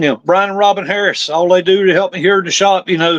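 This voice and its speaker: Heard in a dry, close sound with no echo, a man with a Southern US accent talks at a fairly quick pace in a high pitch with fairly even intonation. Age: 60s. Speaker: drag racer. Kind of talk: interview.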